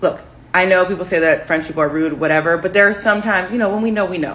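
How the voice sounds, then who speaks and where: With an American accent, a woman speaks in an ordinary speaking voice at medium pitch with ordinary pitch variation. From United States. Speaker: social media commentator. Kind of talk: casual vlog monologue.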